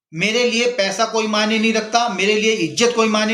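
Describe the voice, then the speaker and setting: Heard with audible room echo, a man speaks at a moderate pace in a high pitch. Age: 60s. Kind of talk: opinion monologue. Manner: impassioned.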